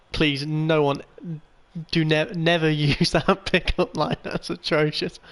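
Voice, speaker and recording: Here a man speaks at a fairly high pitch with fairly even intonation. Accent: Birmingham. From England, Birmingham. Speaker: video game streamer. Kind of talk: live gameplay commentary. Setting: live stream while playing a racing game.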